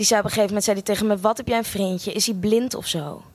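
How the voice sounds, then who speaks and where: A woman's fairly high voice sounds dry and close, with no echo. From Netherlands (Amsterdam) and Australia. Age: 20s. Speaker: storyteller. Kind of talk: live storytelling. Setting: stage with audience. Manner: animated.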